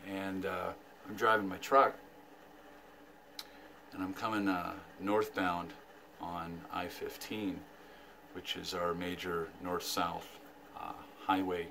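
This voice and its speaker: A man speaks at a very slow pace with a very deep, low pitch. Long, frequent pauses break up his speech, and there is noticeable background noise. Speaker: vlogger. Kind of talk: casual vlog chat. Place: home room. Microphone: phone near.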